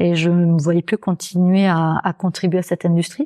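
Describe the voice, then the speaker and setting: A woman speaks at a fairly low pitch with a dark, mellow tone and monotone, flat intonation. The sound is dry and close with no echo, in a very clean recording with a silent background. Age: 40s. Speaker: naturopath and author. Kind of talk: interview. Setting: naturopath's office.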